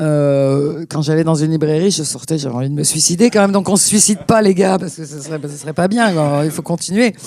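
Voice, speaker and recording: Pauses are almost absent. The delivery runs fairly quickly. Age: 60s. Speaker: publisher. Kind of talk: panel discussion. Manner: animated.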